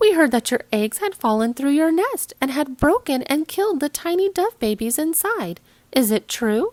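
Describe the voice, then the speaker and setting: A put-on character voice with very wide pitch swings, at a moderate pace, on a very clean recording over a silent background. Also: woman, high pitch for a woman. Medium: read story.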